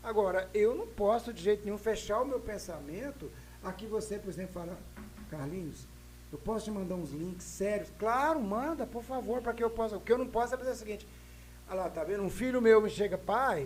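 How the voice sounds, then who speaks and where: Against noticeable background noise, a man with a high pitch talks at a fairly quick pace with ordinary pitch variation. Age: 60s. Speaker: podcast guest. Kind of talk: casual discussion. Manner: halting, repetitive hesitations.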